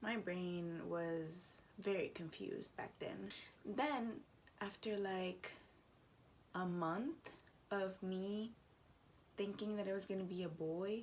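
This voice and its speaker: In a room with audible echo, a woman speaks quietly at a very slow pace, with medium pitch, ordinary pitch variation and long, frequent pauses. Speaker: vlogger. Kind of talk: casual vlog talk. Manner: quiet, lowered voice.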